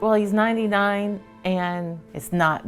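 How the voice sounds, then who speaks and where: Someone talks at a fairly slow pace while music plays in the background. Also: woman. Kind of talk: interview answer.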